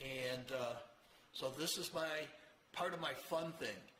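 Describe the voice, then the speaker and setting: A man with an American accent speaks at a fairly high pitch. Audible room echo and noticeable background noise surround him. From Rochester, New York. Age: 80s. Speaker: motorcycle show host. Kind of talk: casual monologue to camera.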